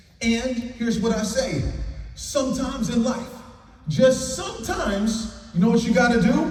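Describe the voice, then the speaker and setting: An energetic, upbeat man with an American accent speaks at a moderate pace in an extremely high pitch with ordinary pitch variation, over noticeable background noise. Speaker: keynote speaker, former pro football player and farmer. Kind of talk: motivational keynote speech to an audience. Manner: energetic, upbeat, inspirational.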